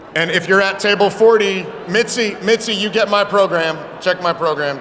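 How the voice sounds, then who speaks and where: An animated man with a high pitch, over noticeable background noise. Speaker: banquet emcee. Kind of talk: banquet emceeing. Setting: stage with audience. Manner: fast.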